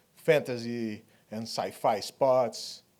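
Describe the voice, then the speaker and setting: A man speaks. He has a Brazilian Portuguese accent. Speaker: 3D artist and director. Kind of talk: conference talk. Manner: halting.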